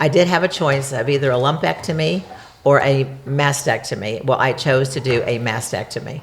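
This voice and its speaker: Over noticeable background noise, a woman with a very deep, low voice speaks at a moderate pace with ordinary pitch variation. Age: 70s. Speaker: cancer survivor, host's mother. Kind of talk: interview.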